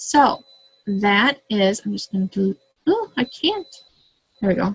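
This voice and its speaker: A normal speaking voice with lively intonation and a fairly slow pace, in a dry, close sound with no echo. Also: woman, medium pitch for a woman. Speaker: direct sales consultant. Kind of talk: tutorial. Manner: casual, with fillers.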